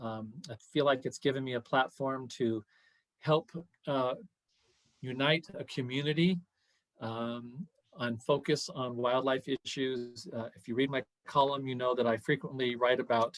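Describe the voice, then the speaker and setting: A man's medium-pitched voice at a fairly slow pace, fairly even in intonation, with long, frequent pauses and a dry, close sound free of echo. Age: 60s. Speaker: city council candidate. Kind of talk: Q&A interview. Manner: hesitant with fillers.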